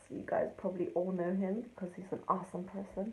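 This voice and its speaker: A woman speaks at a medium pitch, her voice somewhat breathy. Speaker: amateur songwriter sharing a video. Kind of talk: casual pre-recorded video intro. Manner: slow; hesitant, many ums.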